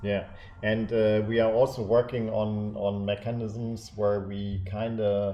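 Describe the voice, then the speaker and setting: Very slowly, a man with a German accent speaks at a fairly low pitch. His intonation is monotone and flat, and the room echo is audible. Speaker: larp event game director. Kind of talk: casual discussion livestream. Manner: halting, many fillers.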